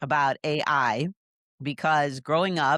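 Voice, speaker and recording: On a very clean recording with a silent background and a dry, close sound with no echo, a woman speaks with a very deep, low pitch and fairly even intonation. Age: 60s. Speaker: podcast co-host. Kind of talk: casual chat.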